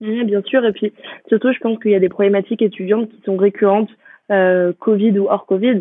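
A woman with a normal speaking voice talks at a fairly quick pace in a medium pitch. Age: 20s. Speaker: business school student. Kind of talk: interview.

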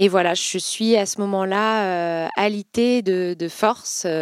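A woman's medium-pitched voice with fairly even intonation and a dry, close sound with no echo. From Vendée, western France. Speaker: fashion brand founder. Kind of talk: interview. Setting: company office. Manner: hesitant, many fillers.

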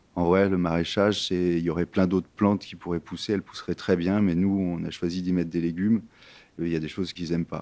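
A man talks very fast with a very deep, low pitch and a dark, mellow tone. His intonation is monotone and flat, on a very clean recording with a silent background. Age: 30s. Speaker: organic vegetable farmer. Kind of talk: interview. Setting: farmhouse kitchen.

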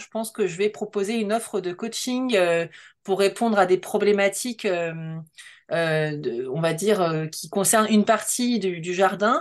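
Fairly slow speech from a woman at medium pitch, ordinary pitch variation and a quiet background. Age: 30s. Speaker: designer and creative coach. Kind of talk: interview. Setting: video call. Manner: halting.

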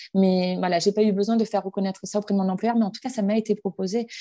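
In a quiet setting, the voice sounds dark and mellow. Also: woman. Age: 30s. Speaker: bank employee and breast cancer awareness organizer. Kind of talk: interview testimony.

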